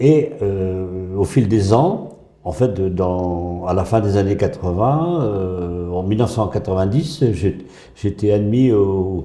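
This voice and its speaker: Very slowly and with ordinary pitch variation, a man speaks at a fairly low pitch amid audible room echo. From northern France (Pas-de-Calais). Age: 80s+. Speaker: retired school headteacher. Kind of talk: casual interview. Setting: gym. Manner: halting, many hesitations.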